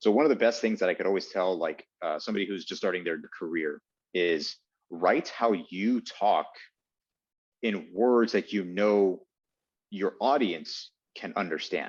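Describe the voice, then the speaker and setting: Over a quiet background, a man with a fairly low pitch talks at a fairly slow pace, taking long, frequent pauses, with ordinary pitch variation. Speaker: TV news anchor. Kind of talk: casual interview.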